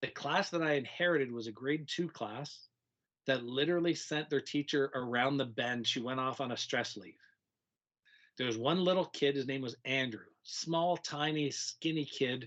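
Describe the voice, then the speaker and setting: A man with a fairly high pitch, ordinary pitch variation and a moderate pace. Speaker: teacher. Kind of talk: casual chat.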